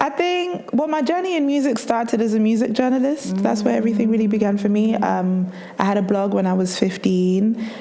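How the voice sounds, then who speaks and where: A woman with a fairly high pitch talks at a fairly quick pace with lively intonation, very even loudness and hardly any pauses. Noticeable background noise and audible room echo fill the recording. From southern England, Reading. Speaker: DJ and record label founder. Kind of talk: interview.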